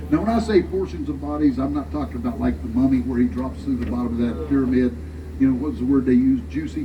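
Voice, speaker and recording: With a Southern US accent, a man with a very deep, low pitch talks at a very fast pace in an animated tone with very wide pitch swings. Audible room echo and noticeable background noise are present. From US South. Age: 70s. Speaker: tour guide. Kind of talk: guided tour commentary.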